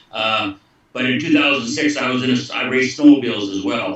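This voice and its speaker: Against noticeable background noise, a man with a medium pitch speaks at a fairly quick pace with fairly even intonation. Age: 60s. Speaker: former pro hockey goaltender. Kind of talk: testimony.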